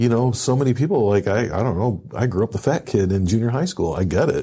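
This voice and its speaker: On a very clean recording with a silent background, a man with an American accent speaks in a medium pitch, his tone dark and mellow and somewhat breathy. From Michigan, city. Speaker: podcast host, veteran. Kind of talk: casual interview.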